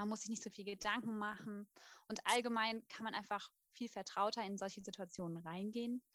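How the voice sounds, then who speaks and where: A woman with an ordinary speaking voice talks at a fairly quick pace, at medium pitch, with fairly even intonation. The sound is dry and close, with no echo. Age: 20s. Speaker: midwife and former youth worker. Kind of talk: casual group chat.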